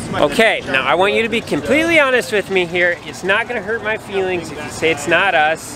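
Over noticeable background noise, a man talks fairly quickly in a raised, projected voice with lively intonation, the sound dry and free of echo. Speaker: farm vlogger. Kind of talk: casual vlog chat. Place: market. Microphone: phone near.

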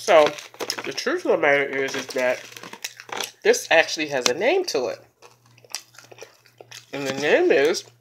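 Noticeable background noise accompanies speech delivered at a fairly slow pace. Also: woman. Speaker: mukbang vlogger. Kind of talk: casual vlog chat. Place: home room. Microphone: phone near.

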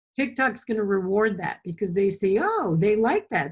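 Somewhat breathy and at a medium pitch, a woman talks at a fairly quick pace with lively intonation. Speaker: artist. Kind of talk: casual interview. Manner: rambling, enthusiastic.

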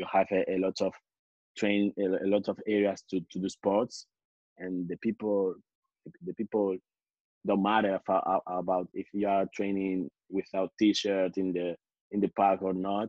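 A man speaks fairly slowly in a fairly low, monotone, flat voice with long, frequent pauses, recorded dry with no echo over a quiet background. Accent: Spanish. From Spain. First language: Spanish. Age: 20s. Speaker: calisthenics athlete; interview guest. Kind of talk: interview. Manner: halting, many repetitions. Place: home room. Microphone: video call.

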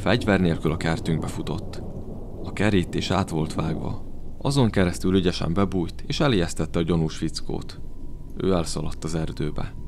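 With a very deep, low pitch and lively intonation, a man speaks at a moderate pace. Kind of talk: horror narration, first-person storytelling.

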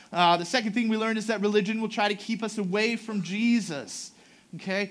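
Speaking at a very fast pace, the man has a high pitch. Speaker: pastor. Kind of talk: sermon. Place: church.

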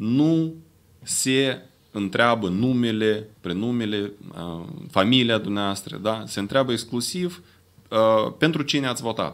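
A man talks at a fairly slow pace with lively intonation. He leaves long, frequent pauses. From Moldova. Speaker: independent analyst; conference speaker. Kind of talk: press conference statement. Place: meeting room. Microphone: podium.

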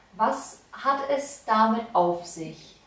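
In a room with audible echo, a woman speaks at a fairly high pitch, her voice swinging very widely up and down. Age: young. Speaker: volunteer interviewer. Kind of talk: interview questions. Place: home room.

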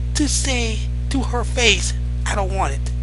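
Music plays in the background of this dry recording, which has no echo. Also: man. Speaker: vlogger. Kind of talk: casual opinion vlog commentary. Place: home room. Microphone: headset.

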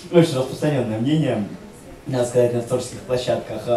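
There is audible room echo and light background noise as a man speaks at a medium pitch. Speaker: writer. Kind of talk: panel discussion. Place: hall.

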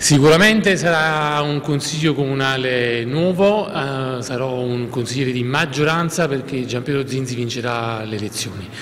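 Over light background noise, a man speaks at a moderate pace with hardly any pauses and ordinary pitch variation. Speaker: newly elected city councillor. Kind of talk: campaign interview. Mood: pleased, confident. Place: office.

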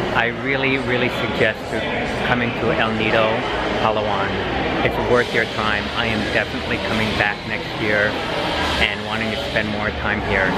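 A man at a moderate pace, with long, frequent pauses, over loud background noise. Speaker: travel vlogger. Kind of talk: casual vlog chat. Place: station. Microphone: phone near.

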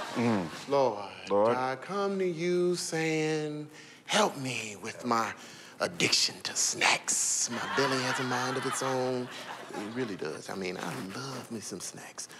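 Loud background noise fills the recording. The speech moves at a very slow pace. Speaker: sitcom actor playing barber shop owner. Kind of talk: scripted comedy dialogue, mock prayer. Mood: playful, mock-earnest. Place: studio.

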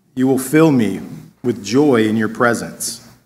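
Ordinary pitch variation at a fairly slow pace. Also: man. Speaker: scripture reader. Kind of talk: reading aloud. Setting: church. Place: church. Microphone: podium.

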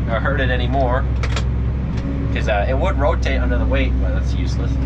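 Loud background noise fills the clip. A man is talking. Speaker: farm worker vlogger. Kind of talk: casual vlog chat. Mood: relaxed, laughing. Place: farm machine. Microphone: phone near.

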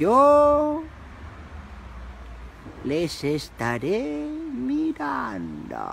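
A cartoonish character voice talks at a very slow pace, with long, frequent pauses. Background noise is clearly audible. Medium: puppet. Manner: slow, solemn.

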